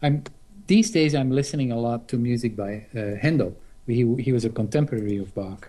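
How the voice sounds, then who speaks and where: The tone is dark and mellow, with a non-native accent. The pace is fairly quick, and pitch varies in an ordinary way. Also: man, medium pitch for a man. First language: not English. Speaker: guitarist. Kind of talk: casual interview.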